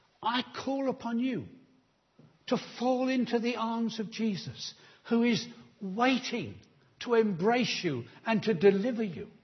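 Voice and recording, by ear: The intonation is lively while the pace stays fairly slow. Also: man, extremely high pitch for a man.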